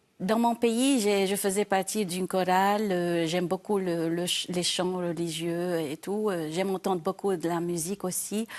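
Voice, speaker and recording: At a fairly slow pace with hardly any pauses, a woman of medium pitch speaks with fairly even intonation. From Syria, Aleppo. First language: Arabic (speaking French). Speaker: quiz contestant. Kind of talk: interview. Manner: halting.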